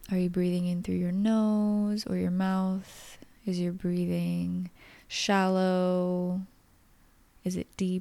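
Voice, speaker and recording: Very slowly and with monotone, flat intonation, a woman speaks in a dark, mellow, calm, soothing tone at a medium pitch and very even loudness. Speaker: podcast host. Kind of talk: guided meditation; casual chat. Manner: calm, slow, soothing, gentle guiding tone with pauses; soft-spoken, nurturing.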